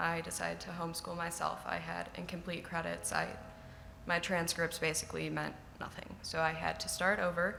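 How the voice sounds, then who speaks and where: A woman speaks fairly quickly, her voice carrying audible room echo amid noticeable background noise. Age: 20s. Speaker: college student, scholarship recipient. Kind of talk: personal testimony speech. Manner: unscripted.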